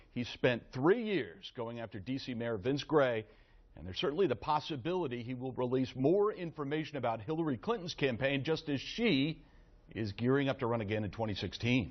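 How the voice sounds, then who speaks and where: A man speaks in a normal speaking voice. His pitch is medium and his pace fairly quick. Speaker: TV news reporter. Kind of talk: live news report.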